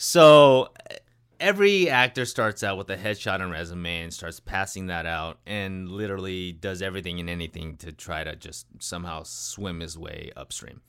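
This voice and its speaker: A very deep, low male voice with an American accent, at a moderate pace, with big swings in loudness and ordinary pitch variation, in a very clean recording with a silent background. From California. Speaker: actor. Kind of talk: casual chat. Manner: animated.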